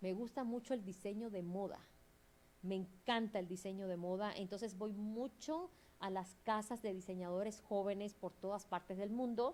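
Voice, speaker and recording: Fairly even intonation at a moderate pace. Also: woman, medium pitch for a woman. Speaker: museum specialist and curator. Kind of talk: interview.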